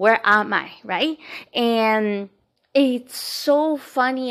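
Heard in a very clean recording with a silent background, a woman with a Spanish accent speaks at a fairly high pitch. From Colombia. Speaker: podcast host, empowerment coach and Reiki practitioner. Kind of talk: casual spiritual monologue.

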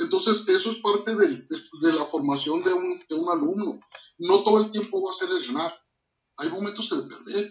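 A man's high-pitched voice with very wide pitch swings, at a moderate pace. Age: 40s. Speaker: martial arts instructor. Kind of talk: interview. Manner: halting, many repetitions.

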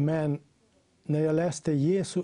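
A man's dark, mellow voice with a Slovenian accent, fairly high in pitch, at a fairly slow pace. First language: Slovenian (speaking Swedish). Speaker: Bible translation worker. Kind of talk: reading aloud; talk.

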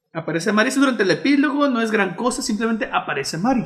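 A high-pitched man with a Mexican accent speaks at a fairly quick pace. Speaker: podcast co-host. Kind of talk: casual chat. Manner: halting.

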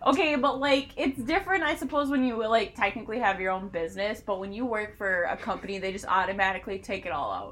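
The voice rushes along at a very fast pace with hardly any pauses, its pitch swinging very widely. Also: woman, fairly high pitch for a woman. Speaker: podcast host. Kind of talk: casual chat over drinks. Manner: animated.

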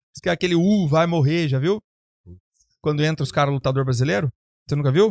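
In an unremarkable speaking voice, the speaker moves at a fairly quick pace with very even loudness and ordinary pitch variation. The sound is dry and close, with no echo. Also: man, fairly high pitch for a man. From Brazil. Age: 30s. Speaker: bodybuilding coach and podcast host. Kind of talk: casual chat.

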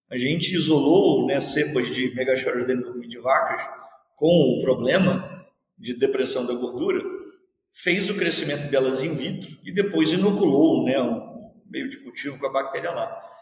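There's audible room echo as a man with a fairly high pitch talks fairly slowly, with ordinary pitch variation and big swings in loudness. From Rio de Janeiro, Baixada Fluminense. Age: 50s. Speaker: university professor. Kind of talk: interview. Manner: long-winded.

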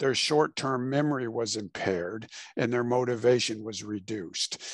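A man speaks at medium pitch and a moderate pace, with ordinary pitch variation. The sound is dry and close with no echo, over a quiet background. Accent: Midwestern American. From Illinois, US Midwest. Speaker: author and mental health practitioner. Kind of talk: interview.

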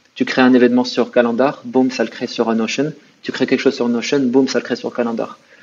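The speaker is a man with monotone, flat intonation. He moves along at a fairly quick pace. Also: medium pitch for a man. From Morocco. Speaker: entrepreneur. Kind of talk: interview.

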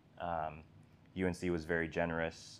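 With monotone, flat intonation, a man speaks in a very deep, low voice. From international upbringing (Swaziland, Jamaica). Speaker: medical student. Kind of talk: casual chat. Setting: in-person recording.

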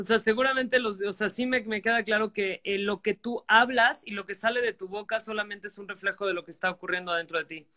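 A woman talks very fast at a medium pitch, her loudness swinging widely and her intonation fairly even, in a dry, close sound with no echo. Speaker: life coach. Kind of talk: interview. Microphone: bad connection.

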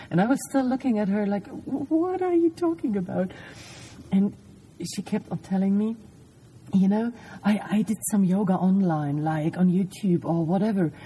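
A woman speaks in a German accent at a medium pitch with lively intonation. Her pace is moderate, with long, frequent pauses. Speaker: podcast host. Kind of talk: casual chat. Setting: lying in a parked van at night.

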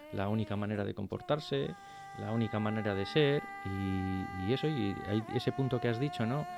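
At a moderate pace, a man speaks with fairly low pitch and ordinary pitch variation over noticeable background noise. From Basque Country, Spain (Bilbao left bank). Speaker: radio co-host. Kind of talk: interview. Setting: studio. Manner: halting.

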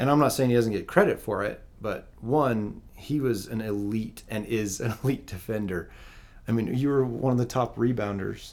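A man with an American accent has a plain, everyday voice at medium pitch. He speaks at a moderate pace with ordinary pitch variation. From Utah, US (Provo). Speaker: basketball coach. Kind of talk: casual chat.

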